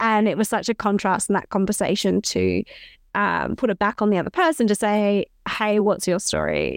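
A woman speaks at a moderate pace with an Australian accent. The sound is dry and close, with no echo. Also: very even loudness. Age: 30s. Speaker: podcast co-host, company CEO. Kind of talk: casual chat. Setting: remote call.

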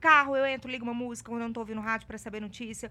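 A woman speaks in a raised, projected voice. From Minas Gerais, Brazil (Ouro Preto). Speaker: journalist and TV presenter. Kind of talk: casual interview chat. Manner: talkative.

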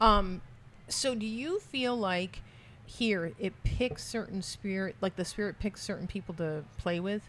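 A woman with a normal speaking voice talks at a fairly slow pace, medium in pitch with ordinary pitch variation. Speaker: psychic medium podcast host. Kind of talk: casual chat. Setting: pub, live on location.

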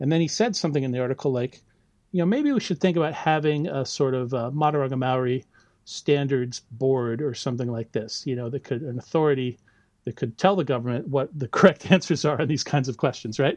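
An unremarkable speaking voice moves at a fairly quick pace with ordinary pitch variation, dry and close with no echo against a quiet background. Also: man, medium pitch for a man. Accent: American. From US. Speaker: university lecturer in biology. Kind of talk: casual interview conversation.

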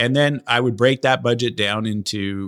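In a dry, close recording with no echo, a man with a plain, everyday voice speaks at a moderate pace with ordinary pitch variation. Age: 40s. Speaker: entrepreneur, software company founder. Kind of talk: interview.

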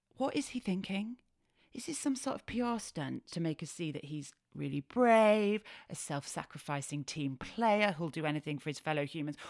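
With a Yorkshire accent, a woman speaks at a moderate pace in an animated tone, her pitch swinging very widely. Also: fairly low pitch for a woman, very clean recording, silent background. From Yorkshire, northern England. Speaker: podcast host. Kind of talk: casual monologue.

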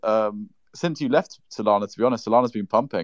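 A man with a British accent at a fairly quick pace, dry and close with no echo. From United Kingdom. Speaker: crypto space participant. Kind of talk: casual banter in an online audio space. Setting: online audio space.

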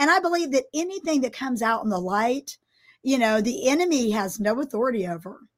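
A woman with a high pitch, very wide pitch swings, an energetic tone and a fairly quick pace. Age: 60s. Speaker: podcast host and pastor. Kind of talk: casual chat.

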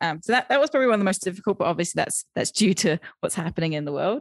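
A woman with an English accent speaks at a medium pitch with lively intonation. The recording is very clean and dry, close, with a silent background and no echo. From UK. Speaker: virtual assistant coach and business founder. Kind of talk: interview. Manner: hesitant, many fillers.

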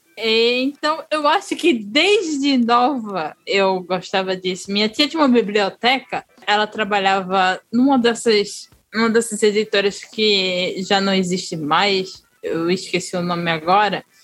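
A woman speaks in a northeastern Brazilian accent at medium pitch and a fairly slow pace. Her intonation is lively, with hardly any pauses. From Northeast Brazil. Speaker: writer and podcaster. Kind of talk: casual chat.

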